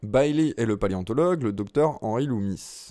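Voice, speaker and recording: Dark and mellow in tone, a man's voice moves at a fairly slow pace with lively intonation. The recording is very clean, the background silent. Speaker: movie news youtuber. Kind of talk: casual commentary reading an article.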